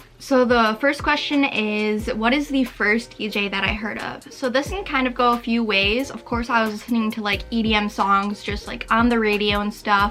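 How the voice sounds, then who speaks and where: Over noticeable background noise, a woman with an American accent talks at a moderate pace with hardly any pauses. Her fairly high pitch keeps a fairly even intonation. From Michigan, US. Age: 18. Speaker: vlogger. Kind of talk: casual vlog talk.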